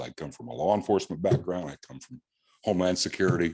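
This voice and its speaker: An American-accented man with vocal fry at a fairly quick pace, over a quiet background. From US Midwest, Illinois. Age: 70s. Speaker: property owner seeking variance. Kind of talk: public testimony. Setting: town board meeting. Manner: halting, repeats words.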